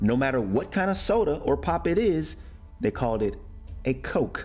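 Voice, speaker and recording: A man with an American accent at a moderate pace, music in the background. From United States. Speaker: American expat YouTuber living in Germany. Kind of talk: casual talk to camera.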